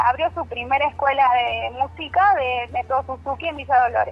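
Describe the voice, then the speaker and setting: Music plays in the background as a woman speaks in a high voice. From Argentina, Córdoba Sierras Chicas. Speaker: violin teacher. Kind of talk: radio interview. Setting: phone call.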